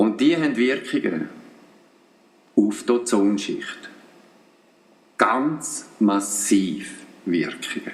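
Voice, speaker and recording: With a Swiss accent, a man of medium pitch speaks at a very slow pace with lively intonation. Long, frequent pauses break his speech, and there is noticeable background noise. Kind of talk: radio commentary.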